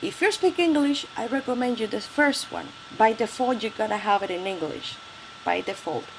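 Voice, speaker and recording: Against noticeable background noise, a woman with a Spanish accent talks at a moderate pace with very wide pitch swings. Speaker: tech tutorial youtuber. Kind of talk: tutorial. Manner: halting.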